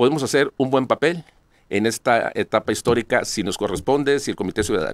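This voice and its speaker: Recorded with a dry sound and no echo, a man speaks with ordinary pitch variation over a quiet background. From Sonora, Mexico (Cananea); Sonora, Mexico. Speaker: lawyer and political candidate; interview guest. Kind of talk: interview. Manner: halting, many repetitions. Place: studio. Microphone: podium.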